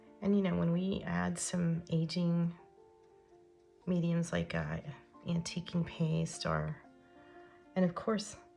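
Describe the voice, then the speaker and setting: A woman speaks at a very slow pace with very even loudness. Long, frequent pauses break her speech over music in the background. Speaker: craft tutorial host. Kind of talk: casual craft tutorial talk. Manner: hesitant, many fillers.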